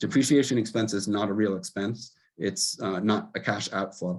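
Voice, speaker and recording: A man talks in a medium pitch, his intonation moving normally. The background is silent and the recording very clean. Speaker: auditor. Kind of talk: financial report presentation. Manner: fast.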